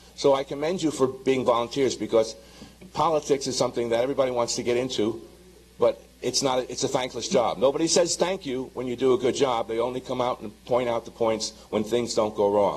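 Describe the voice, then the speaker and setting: Amid noticeable background noise, a man talks fairly quickly at a medium pitch with ordinary pitch variation. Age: 70s. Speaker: retired homeowner, public commenter. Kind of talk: public comment at a hearing. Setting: public hearing room.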